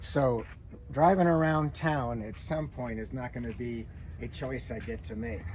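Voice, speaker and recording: The man's voice shows very wide pitch swings and big swings in loudness, and it is somewhat breathy. He talks at a fairly slow pace, with audible room echo. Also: medium pitch for a man. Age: 80s+. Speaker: classic car owner, retired criminologist. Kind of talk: casual interview. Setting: outdoors. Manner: halting.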